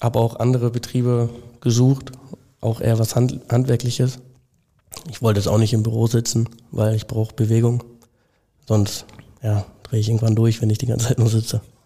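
This man speaks at medium pitch in a flat monotone. His pace is fairly quick, broken by long, frequent pauses. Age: young (19). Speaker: apprentice plumbing and heating fitter. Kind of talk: casual interview. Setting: company premises.

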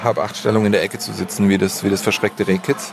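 A man speaks over noticeable background noise. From southern Germany, Stuttgart area (Swabia). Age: 30s. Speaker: advertising creative director. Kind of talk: casual interview. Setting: football stadium box, outdoors.

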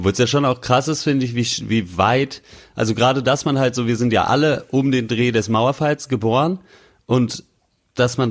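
A normal speaking voice with ordinary pitch variation. It moves at a fairly quick pace. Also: man. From western Germany. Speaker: podcast host. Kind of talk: casual chat.

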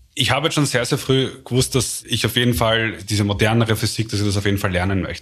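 A man's somewhat breathy voice at medium pitch, rushing along at a very fast pace. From Austria, Vienna and Lower Austria. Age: 40s. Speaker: complexity scientist. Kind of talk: interview. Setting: office.

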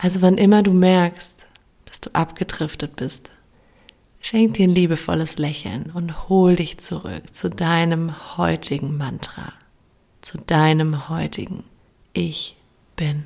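Speech crawls along very slowly, interrupted often by long pauses. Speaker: meditation guide. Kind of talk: guided meditation. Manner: slow, calm, soothing; gentle, warm, with long pauses.

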